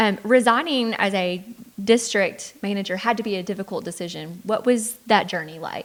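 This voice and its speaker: A woman with a Texan accent at a medium pitch and moderate pace, with ordinary pitch variation and big swings in loudness. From Greenville, Texas. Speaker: interview host, real estate agent. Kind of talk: interview.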